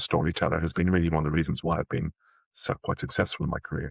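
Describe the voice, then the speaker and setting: Delivered at a very fast pace with an Irish accent, the speech has a dry, close sound with no echo. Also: man. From Ireland, Dublin. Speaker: sales leader and art dealer. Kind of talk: interview.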